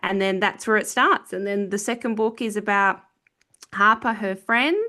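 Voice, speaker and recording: A woman with an Australian accent and a bright, sharp tone, against a quiet background. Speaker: author. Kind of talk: casual interview chat. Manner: hesitant, many filler ums.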